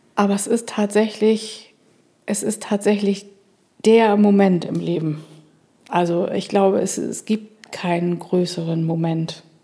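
A woman speaks very slowly, leaving long, frequent pauses. Her intonation stays fairly even. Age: 50s. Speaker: mother of two. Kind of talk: casual chat. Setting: studio.

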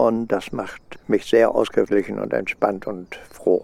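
This man's voice sits at a medium pitch with a dark, mellow tone. He speaks at a fairly slow pace. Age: 70s. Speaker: retired aerospace engineer. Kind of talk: personal interview.

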